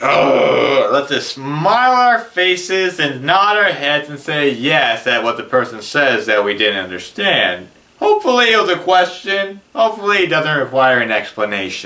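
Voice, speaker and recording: With noticeable background noise behind him, a man speaks in an animated tone with very wide pitch swings. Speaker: video blogger with hearing loss. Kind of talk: casual vlog monologue. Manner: tends to mumble when speaking fast; animated, sarcastic.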